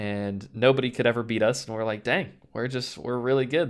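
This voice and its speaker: In a very clean recording with a silent background, a man speaks at a medium pitch and a fairly quick pace. He has a normal speaking voice. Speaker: professional esports player. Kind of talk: interview.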